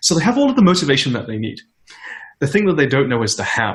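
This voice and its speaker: At a very fast pace, a man speaks with lively intonation and a somewhat breathy voice. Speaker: tech startup founder and CEO. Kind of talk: conference interview.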